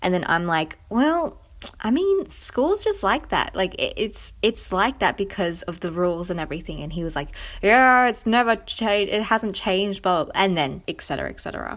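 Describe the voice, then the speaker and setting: An animated woman with an Australian accent on a very clean recording with a silent background. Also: moderate pace. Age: 20s. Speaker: podcast host. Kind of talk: casual chat.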